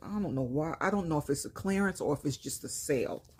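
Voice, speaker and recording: A woman with a New York accent speaks at a very deep, low pitch. Her intonation is lively and her tone dark and mellow. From New York, Brooklyn. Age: 50s. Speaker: lifestyle vlogger. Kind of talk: casual haul vlog. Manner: casual, conversational.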